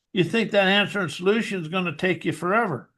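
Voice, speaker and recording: With an American accent, a man speaks at a moderate pace in a high, bright, sharp voice that is raised and projected, with ordinary pitch variation over a quiet background. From rural US West, cattle ranch. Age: 60s. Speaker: hypnotherapist and author. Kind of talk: interview.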